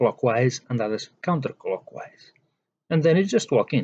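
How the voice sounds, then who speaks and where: In a dry, close recording with no echo, a man with a non-native accent speaks at a fairly slow pace in a dark, mellow tone with ordinary pitch variation. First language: not English. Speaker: spiritual teacher. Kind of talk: monologue lecture.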